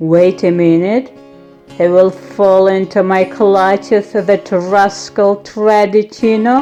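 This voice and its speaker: Using a put-on character voice, a woman growls loudly at medium pitch and a fairly slow pace while music plays clearly in the background. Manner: growling, loud.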